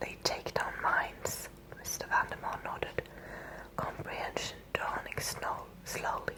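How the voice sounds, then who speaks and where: Over noticeable background noise, a whisper moves along at a fairly slow pace. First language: Scandinavian language. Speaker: ASMR creator. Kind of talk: ASMR reading aloud. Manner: whispering.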